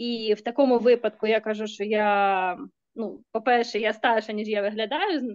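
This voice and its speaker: Speaking at a fairly quick pace, a woman with a Ukrainian accent uses a fairly high pitch and fairly even intonation. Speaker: psychologist. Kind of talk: Q&A discussion. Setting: video call.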